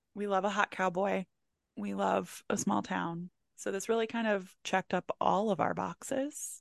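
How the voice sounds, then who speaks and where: An ordinary speaking voice from a woman with an American accent, medium-pitched and at a fairly slow pace, with dry, close sound, no echo and a quiet background. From Maryland, Howard County. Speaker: candle business owner and book content creator. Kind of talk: casual chat.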